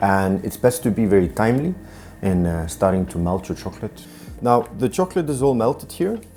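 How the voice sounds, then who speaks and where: Over music in the background, a man talks at a fairly quick pace in a fairly low voice with lively intonation. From Iceland. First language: Icelandic. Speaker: chef. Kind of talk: cooking tutorial. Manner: hesitant, many fillers.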